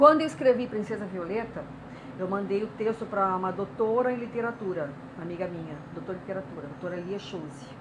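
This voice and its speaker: A woman talks at a very fast pace with lively intonation and big swings in loudness. Noticeable background noise and audible room echo are present. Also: medium pitch for a woman. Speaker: writer and artist. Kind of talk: interview.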